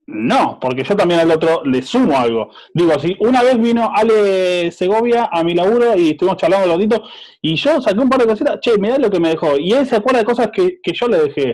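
A man with a high pitch talks at a fairly quick pace, his pitch swinging very widely while his loudness stays very even. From Azul, Buenos Aires province, Argentina. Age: 30s. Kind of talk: casual chat.

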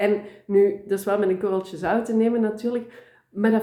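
At a moderate pace, a woman speaks at a medium pitch in an ordinary speaking voice. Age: 30s. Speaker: tarot reader. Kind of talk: interview.

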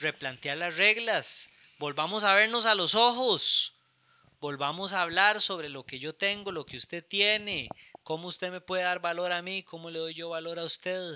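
In a bright, sharp tone, a man talks at a moderate pace with a high pitch and ordinary pitch variation. His loudness swings widely in a dry, close sound with no echo. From Costa Rica, Alajuela. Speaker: architect and writer. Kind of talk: casual chat. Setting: at home. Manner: halting.

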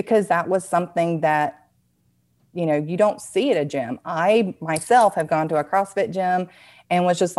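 A woman with a Southern US accent speaks at a moderate pace, her pitch fairly low. Her pitch varies in an ordinary way, and the recording is very clean with a silent background. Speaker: dance fitness business owner, former nurse. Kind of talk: casual interview chat.

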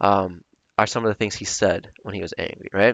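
A man talks at a very fast pace. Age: 20s. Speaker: podcast host. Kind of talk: solo reflective monologue. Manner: halting, many filler words.

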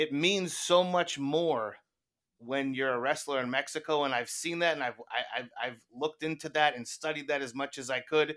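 The man's tone is bright and sharp, and he keeps a moderate pace. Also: fairly high pitch for a man, fairly even intonation. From US. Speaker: guest. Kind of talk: casual chat.

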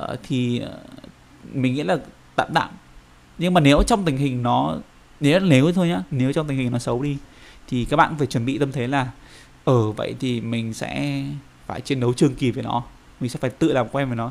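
Pausing long and often, a man speaks at a moderate pace in a medium-pitched voice with ordinary pitch variation. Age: 20s. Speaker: finance employee. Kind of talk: casual interview chat. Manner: halting, many fillers.

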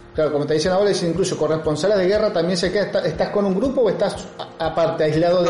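Over noticeable background noise and audible room echo, a man speaks very fast. His voice is high, with ordinary pitch variation. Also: very even loudness. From Argentina, Río Cuarto (Córdoba province). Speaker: podcast host. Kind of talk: interview. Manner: halting.

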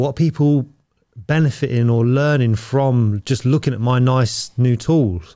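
With a British accent, a man speaks at a medium pitch in a dark, mellow tone and fairly even intonation. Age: 40s. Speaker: podcast host, tradesman. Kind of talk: casual interview.

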